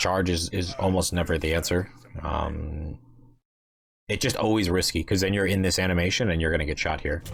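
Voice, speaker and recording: Speaking fairly quickly yet with long, frequent pauses, a man uses a very deep, low pitch, fairly even intonation and very even loudness. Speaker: video game coach reviewing gameplay. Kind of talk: gameplay review commentary. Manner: fast; casual with fillers and restarts.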